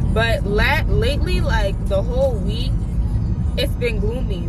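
A woman's voice, dry with no echo, over clear background music. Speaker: vlogger. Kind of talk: casual vlog chat. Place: car. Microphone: phone near.

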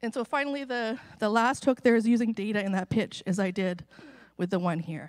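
A woman speaks fairly quickly and with ordinary pitch variation, the background behind her quiet. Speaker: open source program manager giving keynote. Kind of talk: conference keynote talk. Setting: stage with audience. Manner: jittery. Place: stage. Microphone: podium.

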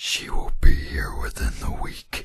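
A man growls and whispers in a put-on character voice. His pace is fairly slow. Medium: machinima. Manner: curt, authoritative.

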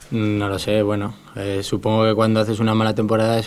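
In a monotone, flat intonation, a man speaks with a fairly low pitch. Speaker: professional footballer. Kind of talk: press conference. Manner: halting. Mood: calm, measured. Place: meeting room. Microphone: podium.

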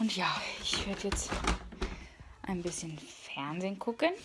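A woman talks while noticeable background noise is present. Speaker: vlogger. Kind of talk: casual vlog chat. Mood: cheerful, relaxed. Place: home room. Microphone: phone near.

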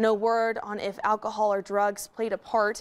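Using monotone, flat intonation, a woman with an American accent speaks at medium pitch and a moderate pace. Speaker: local TV news anchor. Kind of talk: evening newscast read with live toss to reporter and breaking crime story.

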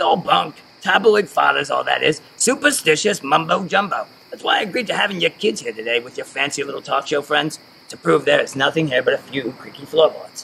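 Using a gruff, put-on character voice at a high pitch, a man talks at a fairly quick pace with big swings in loudness. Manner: curmudgeonly, gruff, dismissive.

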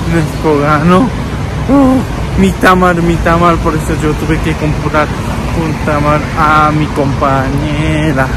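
Amid loud background noise, a man speaks very slowly, and the sound is dry with no echo. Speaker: vlogger. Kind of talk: casual vlog chat. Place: street. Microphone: phone near.

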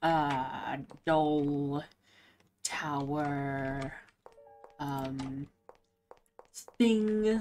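A woman's low, slightly mellow voice with ordinary pitch variation and faint music in the background.

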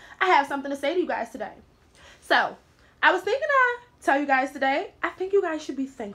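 A woman's high-pitched voice, bright and sharp, at a fairly quick pace with lively intonation. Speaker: vlogger. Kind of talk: spoken word talk to camera. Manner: casual, conversational. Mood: warm, encouraging. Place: home room. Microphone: phone near.

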